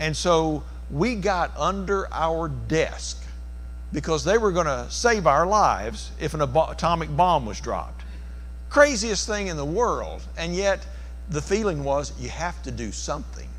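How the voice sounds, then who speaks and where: A man speaks at a fairly slow pace with audible room echo. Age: 60s. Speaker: preacher. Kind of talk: sermon.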